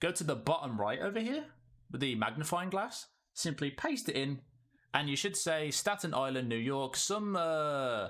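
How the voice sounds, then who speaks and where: A man's voice in a very clean recording with a silent background. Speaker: gaming YouTuber. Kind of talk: tutorial. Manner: halting.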